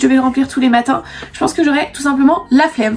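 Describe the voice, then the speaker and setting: A woman speaks at a high pitch with ordinary pitch variation. Noticeable background noise runs under her voice. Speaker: beauty YouTuber. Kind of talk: product review vlog. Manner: animated.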